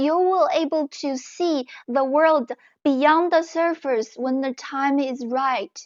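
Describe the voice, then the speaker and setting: Against a quiet background, a woman with a non-native accent speaks at a high pitch and a very slow pace. Her pitch variation is ordinary, and the sound is dry and close with no echo. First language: not English. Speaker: self-help author and video creator. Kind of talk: motivational talk. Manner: earnest, direct address.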